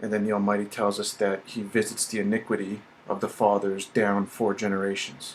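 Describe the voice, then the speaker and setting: A man at a fairly slow pace and a fairly low pitch. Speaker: religious video commentator. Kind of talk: religious teaching monologue.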